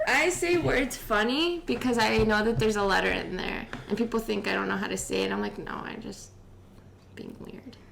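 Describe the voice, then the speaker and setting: Amid noticeable background noise and audible room echo, a woman with an American accent speaks at a moderate pace, her loudness swinging widely. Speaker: podcast host. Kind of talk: casual chat.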